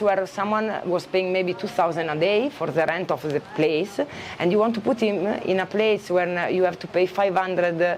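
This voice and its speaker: A woman's medium-pitched voice with an Italian accent, ordinary pitch variation and a fairly slow pace, over noticeable background noise. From Italy. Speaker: expat shop and eco farm owner. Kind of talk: casual interview chat. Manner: halting, many fillers and restarts.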